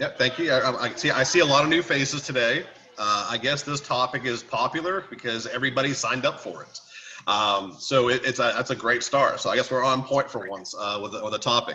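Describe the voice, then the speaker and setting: A man talks fairly quickly while noticeable background noise fills the clip. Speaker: sales trainer. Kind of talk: training webinar. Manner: fast.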